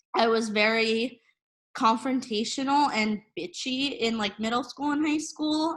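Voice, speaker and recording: A woman speaks loudly at a very slow pace and fairly high pitch. Her pitch varies in an ordinary way against a quiet background. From New Jersey, US. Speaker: social media editor. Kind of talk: casual interview chat. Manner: casual, many fillers.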